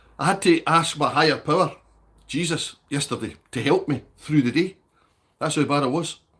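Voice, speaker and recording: At a moderate pace, a man talks with fairly even intonation and a fairly high pitch. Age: 60s. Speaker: livestreamer, recovering alcoholic. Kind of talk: casual livestream chat reading comments. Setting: livestream.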